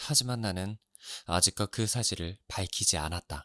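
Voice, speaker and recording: A man speaks at a very slow pace in a bright, sharp tone, with a dry, close sound with no echo and a very clean recording with a silent background. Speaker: audiobook narrator. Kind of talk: audiobook reading, narration of a novel. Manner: calm, soft-spoken, ASMR-style.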